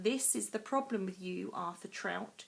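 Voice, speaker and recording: A woman puts on a hissing character voice at medium pitch and a moderate pace. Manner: hissing, resentful.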